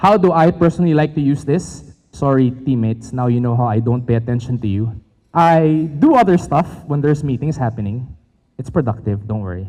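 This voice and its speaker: A man with a Filipino accent talks at a fairly quick pace in a dark, mellow tone. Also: medium pitch for a man, lively intonation. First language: Tagalog. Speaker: tech company presenter. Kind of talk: conference presentation. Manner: fast.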